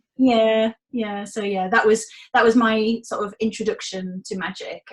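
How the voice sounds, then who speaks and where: A woman with a Hull accent speaks at a moderate pace in a fairly high, somewhat breathy voice, with monotone, flat intonation and big swings in loudness. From northern England, Hull. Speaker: magician. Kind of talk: interview.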